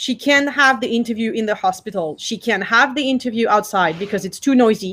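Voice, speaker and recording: With a French accent, a woman talks at a moderate pace in a fairly high pitch with ordinary pitch variation. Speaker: cultural institute director. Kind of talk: workshop talk. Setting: video call.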